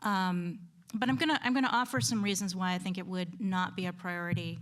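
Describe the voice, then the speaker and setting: A woman with an American accent talks at a medium pitch, somewhat breathy, with lively intonation. Room echo is audible. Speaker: conference panelist, historian. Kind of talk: conference talk. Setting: lecture hall with audience. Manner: halting, many fillers.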